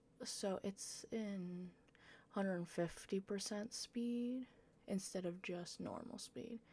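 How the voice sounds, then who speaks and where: Somewhat breathy female voice with a dark, mellow tone, medium pitch and ordinary pitch variation. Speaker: gaming youtuber. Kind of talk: gameplay commentary. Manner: casual, hesitant.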